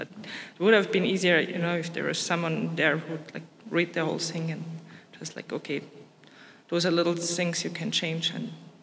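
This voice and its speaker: Speaking with a non-native accent at a fairly quick pace, someone leaves long, frequent pauses against noticeable background noise. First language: not English. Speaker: ERC grant holder, researcher. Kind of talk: panel discussion.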